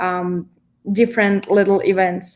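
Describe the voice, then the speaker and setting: A woman speaks with a Russian accent at a medium pitch. Her pace is fairly slow. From Kazakhstan. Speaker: event management student. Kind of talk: panel discussion.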